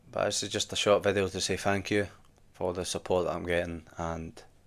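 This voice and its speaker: A man with a Scottish accent, very deep and low in pitch, at a fairly quick pace, with monotone, flat intonation. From Scotland. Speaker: gaming YouTuber. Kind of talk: casual vlog to camera. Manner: casual, conversational.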